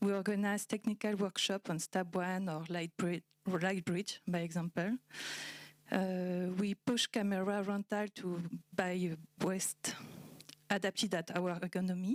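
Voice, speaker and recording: With a French accent, a woman at medium pitch speaks in a monotone, flat way, with very even loudness and long, frequent pauses, on a very clean recording with a silent background and a dry, close sound with no echo. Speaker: cinematographer. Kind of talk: panel discussion. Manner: halting.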